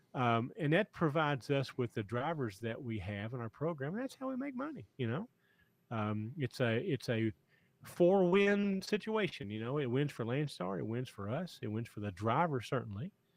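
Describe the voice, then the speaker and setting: A man talks at a moderate pace in a medium pitch. His pitch swings very widely. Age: 60s. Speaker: trucking company owner and podcast host. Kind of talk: podcast chat. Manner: halting, many repetitions.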